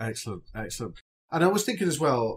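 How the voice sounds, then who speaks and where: Here a man speaks in a somewhat breathy voice. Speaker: podcast host. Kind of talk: podcast interview.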